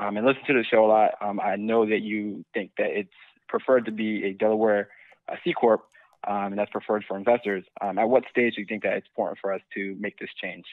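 In a plain, everyday voice, a man with an American accent talks at a fairly quick pace with fairly even intonation and fairly low pitch. The sound is dry with no echo, over a quiet background. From New Jersey, Trenton; New Jersey. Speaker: startup co-founder caller; caller. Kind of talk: phone-in question. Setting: phone call. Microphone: phone line.

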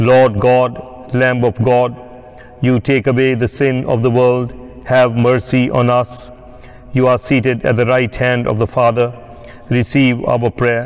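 A man speaks at a fairly slow pace with very even loudness and monotone, flat intonation. Music plays in the background. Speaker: priest leading worship. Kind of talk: liturgical reading. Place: church.

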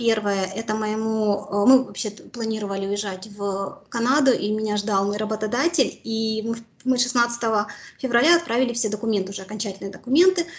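A woman speaks at a moderate pace in a fairly high pitch with ordinary pitch variation. Her voice is somewhat breathy. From Mariupol, Ukraine; Ukraine. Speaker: war survivor, former civic activist; interviewee. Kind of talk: interview testimony. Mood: serious, recounting hardship. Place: home room. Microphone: video call.

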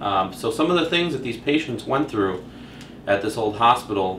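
The speaker keeps a moderate pace while audible room echo and light background noise surround the voice. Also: man. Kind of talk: commentary. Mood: calm, slightly hushed. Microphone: camera far.

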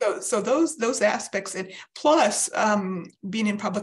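A woman is speaking. Her voice sounds somewhat breathy. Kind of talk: interview answer. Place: home room. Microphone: video call.

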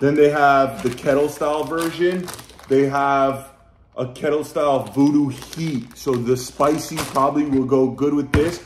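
Speaking at a fairly slow pace with fairly even intonation, a man is heard with audible room echo and light background noise. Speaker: food vlogger. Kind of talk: casual vlog chat. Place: home room. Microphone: phone near.

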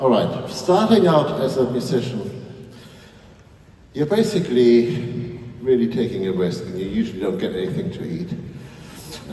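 Speaking at a fairly slow pace, a man swings his pitch very widely over light background noise and audible room echo. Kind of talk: stage speech. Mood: warm, grateful. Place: stage.

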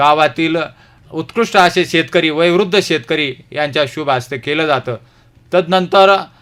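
His voice high for a man, this man talks with ordinary pitch variation. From Ahmednagar district, Maharashtra. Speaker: ex-soldier and farmer. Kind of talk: radio interview. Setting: radio studio. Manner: formal.

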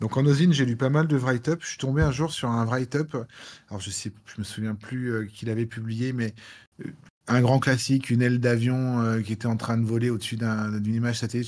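Against a quiet background, a man talks at a fairly quick pace in a plain, everyday voice, medium in pitch, with fairly even intonation. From France, Lyon; France. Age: 40s. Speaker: cybersecurity expert, penetration tester. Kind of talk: live Q&A talk. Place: home room.

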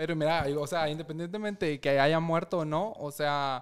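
A man's fairly high, a normal speaking voice with fairly even intonation and a moderate pace against a quiet background. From Guatemala, Chimaltenango; Guatemala. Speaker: lawyer. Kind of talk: casual chat. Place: studio. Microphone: studio mic.

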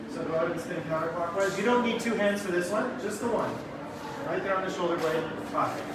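Against loud background noise and audible room echo, a man talks at a fairly quick pace with ordinary pitch variation. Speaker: dance workshop teacher. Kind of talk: tutorial. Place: hall. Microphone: camera far.

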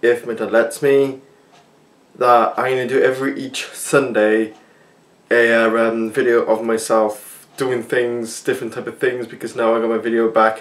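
A man at a moderate pace, in a monotone, flat intonation. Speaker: channel host. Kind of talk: casual vlog chat. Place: kitchen. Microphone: phone near.

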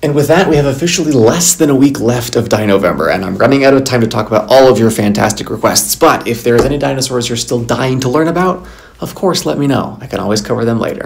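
With lively intonation and hardly any pauses, a man speaks at a very fast pace. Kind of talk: casual educational vlog. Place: home room. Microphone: earbuds.

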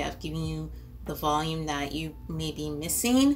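Faint background music behind a woman's fairly slow speech. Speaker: beauty vlogger. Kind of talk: casual vlog chat. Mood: relaxed, friendly. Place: home room.

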